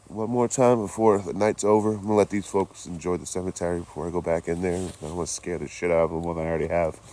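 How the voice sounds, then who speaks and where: Speaking very fast in a very deep, low pitch, a man with an American accent shows ordinary pitch variation against noticeable background noise. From Boston, US. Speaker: traveling live streamer. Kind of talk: live stream vlog. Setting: outdoors in a cemetery at night. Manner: casual, chatty; quiet at times.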